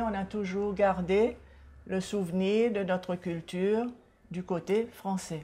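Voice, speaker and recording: A woman with a dark, mellow tone and a somewhat breathy voice speaks at a medium pitch, with fairly even intonation and at a very slow pace. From Seychelles. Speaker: author and culture advocate. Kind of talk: TV interview.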